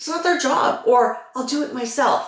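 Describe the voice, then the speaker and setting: A woman's high voice with very wide pitch swings and audible room echo. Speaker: vlogger with cancer. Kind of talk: get-ready-with-me vlog. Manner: slow, slightly slurred; halting, searching for words.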